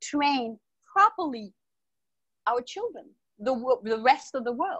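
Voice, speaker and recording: A woman talks with an American accent and a high pitch. Her pace is fairly slow, with very wide pitch swings. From South Florida and Martinique. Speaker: holistic health advocate. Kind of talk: interview. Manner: loud; animated.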